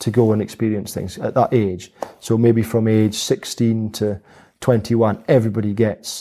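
In a Highland Scottish accent, a man with a medium pitch and a dark, mellow tone speaks at a fairly slow pace. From Scottish Highlands, Dingwall near Inverness. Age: 40s. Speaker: helicopter pilot, farmer and distillery founder. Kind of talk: interview conversation. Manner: halting, many fillers.

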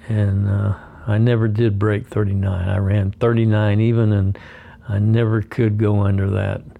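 A man speaks in a monotone, flat intonation at a fairly slow pace, his loudness very even. Noticeable background noise sits behind him. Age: 70s. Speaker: running podcast host. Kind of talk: solo podcast monologue. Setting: hotel room, lying in bed. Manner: halting, with filler words.

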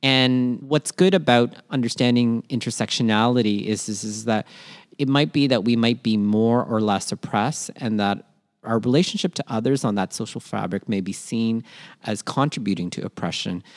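A man with a Canadian accent speaks at a moderate pace in a plain, everyday voice, medium in pitch with ordinary pitch variation, and the sound is dry and close with no echo. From Toronto, Canada (born in Manila). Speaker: podcast co-host, educator on social justice. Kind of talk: casual educational chat. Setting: remote podcast recording.

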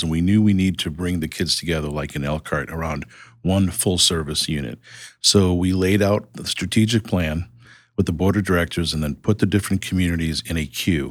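At a fairly quick pace, a man with an American accent talks in a very deep, low pitch with ordinary pitch variation, recorded very cleanly against a silent background. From Boston, US. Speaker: nonprofit CEO. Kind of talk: interview conversation.

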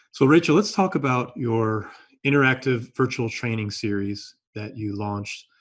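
A man with a normal speaking voice talks at a moderate pace and medium pitch, with lively intonation and big swings in loudness. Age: 50s. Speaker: podcast host. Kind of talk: interview. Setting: video call.

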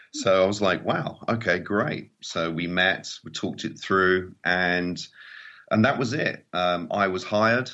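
A man with an English accent speaks at a fairly slow pace in a very deep, low pitch. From England, small seaside town. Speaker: mobile filmmaker and trainer. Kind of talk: interview conversation.

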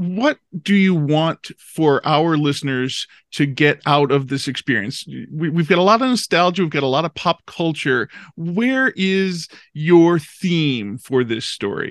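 A man with an American accent and an unremarkable speaking voice talks at a fairly slow pace with a fairly high pitch and lively intonation. The sound is dry and close with no echo, over a quiet background. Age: middle-aged. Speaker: podcast host. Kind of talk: interview.

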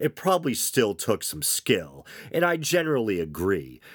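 Croaky and lively in intonation, a man talks at a moderate pace. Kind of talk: casual podcast monologue. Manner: casual, hesitant with fillers.

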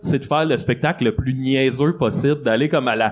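With an ordinary speaking voice, a man talks at a fairly quick pace and a fairly high pitch. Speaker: comedian. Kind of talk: casual chat. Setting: stage with audience.

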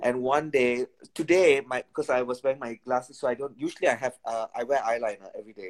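A man's medium-pitched voice at a very fast pace, with ordinary pitch variation, in a dry, close sound with no echo. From Malaysia and India. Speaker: dancer and choreographer. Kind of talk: casual chat.

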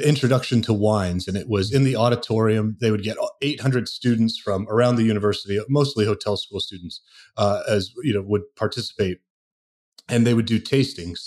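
A man with an American accent speaks in a normal speaking voice at a medium pitch, his intonation fairly even. The recording is very clean, with a silent background. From US, Portland Oregon and New Jersey. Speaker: menu and wine list consultant. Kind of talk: interview.

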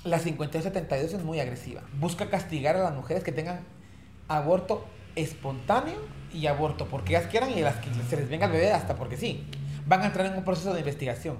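Audible room echo surrounds a man's voice. He talks at a fairly quick pace with lively intonation. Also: fairly high pitch for a man. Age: 40s. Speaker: politician and HIV rights activist. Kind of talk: interview.

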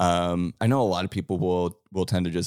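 With an American accent, a man talks in a very deep, low pitch and ordinary pitch variation, the sound dry and close with no echo on a very clean recording with a silent background. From Cleveland, Ohio. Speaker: musician. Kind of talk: casual chat. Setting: studio.

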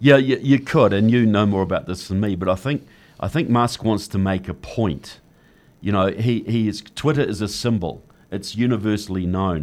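A man with a New Zealand accent talks at a moderate pace in a fairly low voice. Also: ordinary pitch variation. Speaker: author and political activist. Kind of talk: interview. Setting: studio.

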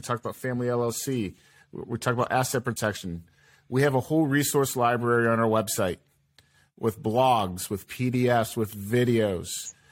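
The recording is very clean, the background silent. At a moderate pace, a plain, everyday voice speaks with an American accent. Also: man. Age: 30s. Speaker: podcast host. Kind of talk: casual chat.

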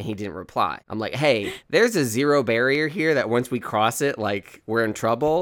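An ordinary speaking voice from a man, medium in pitch and moderate in pace, with lively intonation and hardly any pauses, in a very clean recording against a silent background. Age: 20s. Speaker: podcast co-host. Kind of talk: casual chat.

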